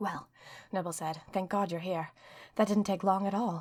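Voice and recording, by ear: Someone reads aloud in a natural voice, with fairly even intonation.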